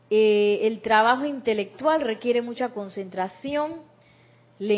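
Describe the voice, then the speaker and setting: A woman speaks at a very slow pace, her fairly high voice showing ordinary pitch variation. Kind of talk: spiritual teaching talk.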